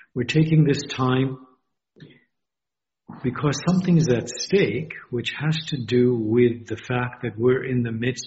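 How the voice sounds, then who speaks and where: A man talks rather unhurriedly in a slightly breathy voice. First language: not English. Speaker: university dean. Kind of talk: interview.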